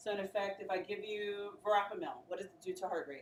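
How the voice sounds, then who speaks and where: A woman with a plain, everyday voice speaks in a fairly high pitch. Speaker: nursing pharmacology instructor. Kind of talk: classroom lecture. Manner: interactive call-and-response questioning.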